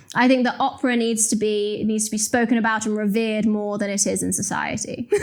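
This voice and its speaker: A woman's fairly high, monotone, flat voice at a very fast pace, with noticeable background noise. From West Midlands, England (Telford). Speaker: journalist and commentator. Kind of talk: interview conversation.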